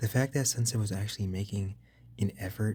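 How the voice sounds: What you hear is a natural reading voice.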